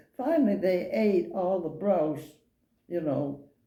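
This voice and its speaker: With an American accent, a woman speaks at a moderate pace in a fairly low, dark, mellow voice. Her intonation is lively, and audible room echo surrounds it. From Maine, US. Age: 80s+. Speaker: elderly local resident interviewed. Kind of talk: oral history interview. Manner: halting.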